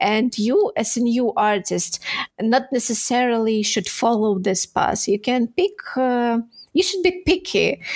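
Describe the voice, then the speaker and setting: A woman with a Ukrainian accent speaks at a fairly slow pace. Her voice is fairly high, with lively intonation. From Ukraine (Odesa). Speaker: 3D texture artist. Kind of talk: interview. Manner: halting.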